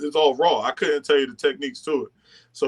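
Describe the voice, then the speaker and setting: With an American accent, the voice rises and falls in pitch in an ordinary way. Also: man. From North Carolina, Raleigh. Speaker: former football lineman, coach. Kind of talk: podcast interview. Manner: casual, filler-heavy.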